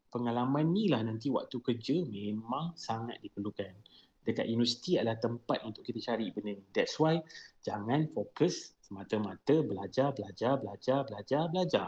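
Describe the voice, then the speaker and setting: Using a normal speaking voice, a man at medium pitch talks at a moderate pace with lively intonation and big swings in loudness. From Malaysia, Melaka. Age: 30s. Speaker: chemical engineer. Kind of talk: podcast interview.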